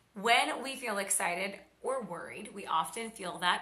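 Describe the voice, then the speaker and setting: A woman speaks fairly slowly amid audible room echo and noticeable background noise. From Oklahoma. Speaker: podcast host, fitness and health coach. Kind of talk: casual educational monologue. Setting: she shed with tin roof.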